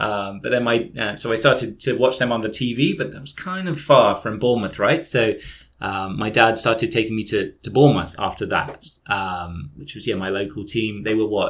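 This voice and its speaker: A man in a southern English accent with lively intonation at a moderate pace. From southern England, Dorset. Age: 30s. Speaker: football fan guest. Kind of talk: casual podcast chat.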